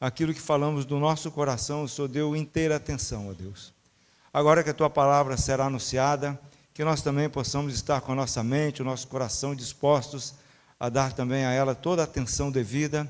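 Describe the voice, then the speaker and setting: A normal speaking voice from a man, fairly high in pitch, fairly quick in pace, with fairly even intonation. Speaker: church member leading prayer. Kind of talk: introducing a guest speaker; prayer.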